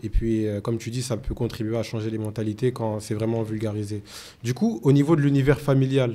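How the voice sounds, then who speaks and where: Speaking at a fairly quick pace with a Guinean accent, a man with a medium pitch and a dark, mellow tone keeps fairly even intonation, recorded very cleanly against a silent background. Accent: Guinean-tinged French. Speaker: podcast host. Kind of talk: interview.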